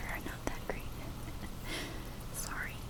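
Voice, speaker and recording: Noticeable background noise sits behind this soft-spoken voice. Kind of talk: soft-spoken ASMR talk to camera while cataloging books.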